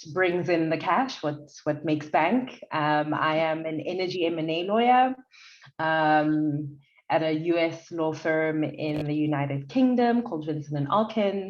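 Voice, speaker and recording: A woman with a very deep, low pitch and ordinary pitch variation, speaking at a fairly slow pace in audible room echo. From South Africa, Durban. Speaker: lawyer. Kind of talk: podcast interview. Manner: loud, animated.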